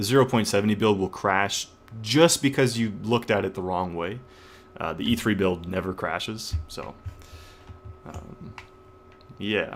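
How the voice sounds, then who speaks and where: Speech at a moderate pace with long, frequent pauses and noticeable background noise. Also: man, fairly low pitch for a man, ordinary pitch variation. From Canada. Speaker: gaming streamer. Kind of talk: live stream commentary. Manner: casual with many fillers.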